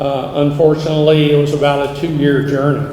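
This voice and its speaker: Over noticeable background noise and audible room echo, a man speaks with a fairly high pitch. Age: 60s. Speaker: senior living company founder. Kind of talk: public speech.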